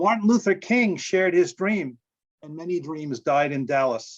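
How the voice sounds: A man at a fairly slow pace, with lively intonation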